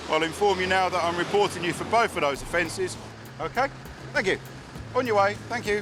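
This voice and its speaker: Over noticeable background noise, a man with a high pitch talks at a fairly quick pace, broken by long, frequent pauses. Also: ordinary pitch variation. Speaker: traffic police officer. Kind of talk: roadside police stop. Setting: outdoors. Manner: loud; formal.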